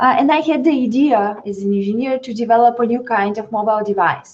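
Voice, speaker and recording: A woman speaks fairly quickly at a fairly high pitch. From Bulgaria. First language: Bulgarian. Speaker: social entrepreneur, tech startup CEO. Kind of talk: webinar panel discussion.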